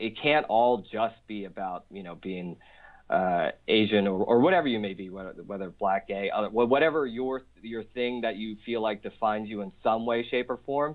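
This man, with an American accent, has an ordinary speaking voice, fairly low in pitch, with ordinary pitch variation and a moderate pace. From Philadelphia, US. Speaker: stand-up comedian. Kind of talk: casual interview. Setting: phone call.

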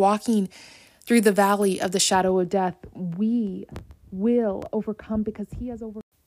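Dry and close with no echo, on a very clean recording with a silent background, a woman with an American accent speaks at a medium pitch in a monotone, flat intonation. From US Midwest (Ohio). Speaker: faith podcast host. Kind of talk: devotional podcast talk.

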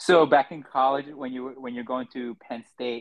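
A man's plain, everyday voice, medium-pitched and fairly even in intonation, at a fairly quick pace. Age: 30s. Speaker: podcast host and amateur trail runner. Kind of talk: casual interview chat.

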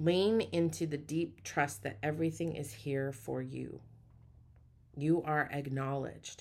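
At a fairly slow pace, a woman speaks with a warm tone, a very deep, low pitch and lively intonation. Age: 40s. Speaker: spiritual podcast host and preacher. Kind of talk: inspirational spiritual talk. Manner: warm, affirming, repetitive.

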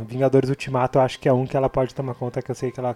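A man speaks at a medium pitch. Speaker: movie podcast co-host. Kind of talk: casual chat.

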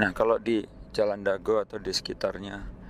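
At a moderate pace, a man speaks in a monotone, flat delivery at a fairly low pitch. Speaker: podcaster on open science and data. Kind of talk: solo educational talk. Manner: relaxed, conversational with fillers.

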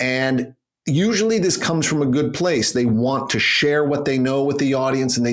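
This is a normal speaking voice from a man with a Canadian accent. His pitch is medium and his pace moderate. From Canada. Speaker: public speaking coach. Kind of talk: interview.

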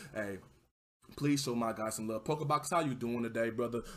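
The tone is animated and enthusiastic. It comes with a Southern US accent. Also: man. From Texas. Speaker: livestreamer podcast host. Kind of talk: casual livestream chat. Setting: livestream, home setup with mic. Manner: animated, casual, enthusiastic.

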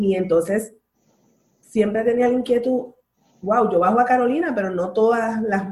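Her voice has a somewhat breathy quality. The woman talks at a fairly slow pace. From Puerto Rico, Bayamón. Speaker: breastfeeding support group leader. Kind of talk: casual interview.

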